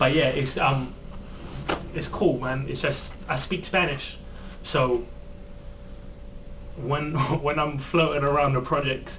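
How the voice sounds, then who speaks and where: A man's fairly high voice in a strong London accent, very slow with long, frequent pauses and fairly even intonation, amid audible room echo and noticeable background noise. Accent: London accent, kept thick. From London, England. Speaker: rapper. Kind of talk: interview.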